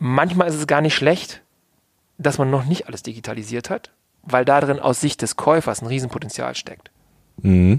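The speaker goes at a moderate pace, with long, frequent pauses. Pitch variation is ordinary. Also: man, fairly high pitch for a man. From Hannover, northern Germany. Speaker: business consultant and entrepreneur. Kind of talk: podcast interview.

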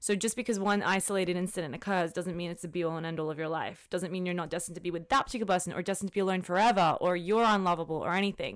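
A woman speaks at a very fast pace with fairly even intonation, recorded very cleanly against a silent background. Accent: Australian. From Australia. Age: 20s. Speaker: lawyer. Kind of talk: casual chat.

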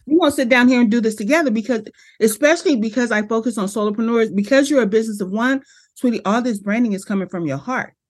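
Against a quiet background, a woman with a fairly high pitch speaks at a very fast pace, animated in tone, with lively intonation. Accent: American. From Los Angeles, US West Coast. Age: 50s. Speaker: brand strategist and business coach. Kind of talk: casual interview.

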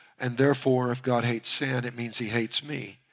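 Recorded very cleanly against a silent background, a man with a Louisiana accent speaks at a moderate pace with fairly even intonation. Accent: Louisiana Southern US. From Louisiana, US. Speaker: pastor. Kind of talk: sermon.

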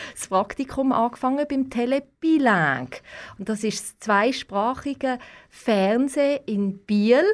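Recorded very cleanly against a silent background, a high-pitched woman talks at a very slow pace with ordinary pitch variation and big swings in loudness. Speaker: TV correspondent. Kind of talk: interview. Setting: studio, wearing face mask.

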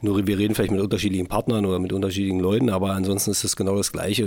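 A man speaks with a fairly low pitch. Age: 40s. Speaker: football club managing director. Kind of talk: casual interview.

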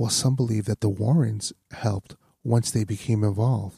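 Somewhat breathy, with a dark, mellow tone and medium pitch, a man is heard in a very clean recording with a silent background and a dry, close sound with no echo. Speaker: podcast host. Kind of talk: ASMR-style true-crime narration of a haunting.

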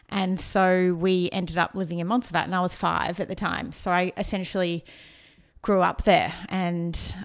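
A woman with an Australian accent, medium pitch, fairly even intonation and a moderate pace. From Australia, outskirts of Melbourne. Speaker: marketing consultant. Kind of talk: casual interview.

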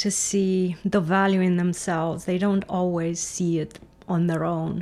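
The woman speaks at a fairly slow pace. Her intonation is monotone and flat. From Romania. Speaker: physics professor. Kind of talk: interview. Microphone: poor audio, gain turned up high.

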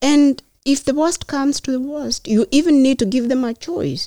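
With a Kenyan accent, a woman speaks at a moderate pace in a dark, mellow tone, the sound dry and close with no echo. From rural Kenya. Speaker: mayoral candidate and public health nurse. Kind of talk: interview. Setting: podcast studio.

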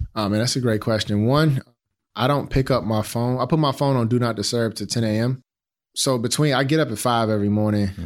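In a very clean recording with a silent background, a man with an American accent uses an ordinary speaking voice at medium pitch, talking at a fairly quick pace with fairly even intonation. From Chicago, South Side. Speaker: design executive and startup founder. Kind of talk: interview. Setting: studio.

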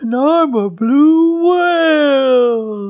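A woman puts on a high-pitched character voice.

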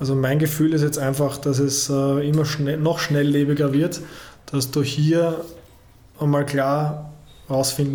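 Audible room echo surrounds a man speaking at a moderate pace. His fairly high voice has monotone, flat intonation. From Austria, Vienna / Purkersdorf. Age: 40s. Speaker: football federation digital content head. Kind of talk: interview.

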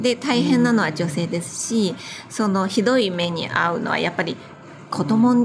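With a Chinese accent, a woman talks at a moderate pace and medium pitch with ordinary pitch variation, over noticeable background noise. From China. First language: Chinese (speaking Japanese). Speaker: wedding planner and business owner. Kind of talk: casual interview.

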